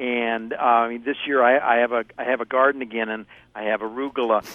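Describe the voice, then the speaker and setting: A man with an American accent speaks at a moderate pace with fairly even intonation. He has a plain, everyday voice. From US Midwest, Ohio. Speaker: produce market expert. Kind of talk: casual chat.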